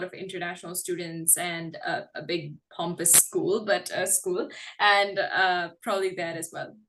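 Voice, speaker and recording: A woman with a bright, sharp tone talks at a moderate pace and a medium pitch over a quiet background. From India, Karnataka. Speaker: English tutor. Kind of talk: casual chat. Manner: hesitant, many fillers.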